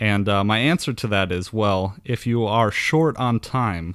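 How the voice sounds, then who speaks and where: On a very clean recording with a silent background, a man with a Wisconsin accent speaks at a fairly low pitch with ordinary pitch variation. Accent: folksy Wisconsin. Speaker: podcast host. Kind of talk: podcast monologue with sponsor plugs.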